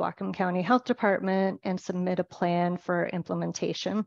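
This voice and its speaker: A woman with an ordinary speaking voice talks at a fairly quick pace and a medium pitch against a quiet background. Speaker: grocery sustainability manager. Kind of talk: webinar presentation.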